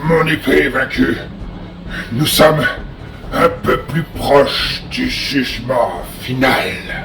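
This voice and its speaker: A man uses a put-on character voice with a fairly high pitch. He goes at a very slow pace with long, frequent pauses, and clear background noise is audible. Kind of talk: fan-dub video game acting. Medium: fan dub. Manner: arrogant, grandiose, laughs darkly.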